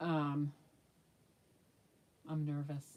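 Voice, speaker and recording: A woman speaks with a very deep, low pitch and a dark, mellow tone. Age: 60s. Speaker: YouTuber, reborn doll maker. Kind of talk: casual livestream chat. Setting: livestream.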